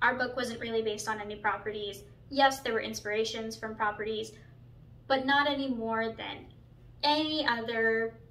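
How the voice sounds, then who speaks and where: Her intonation stays fairly even as the woman talks. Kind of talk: casual vlog chat. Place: home room. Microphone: camera far.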